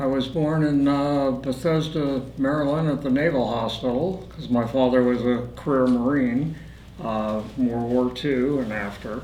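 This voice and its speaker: Against noticeable background noise and audible room echo, a man with a Midwestern US accent talks at a fairly slow pace with fairly even intonation. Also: medium pitch for a man. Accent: US Midwest. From Indiana. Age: 70s. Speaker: war veteran. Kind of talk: interview. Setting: studio. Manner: halting, many filler words.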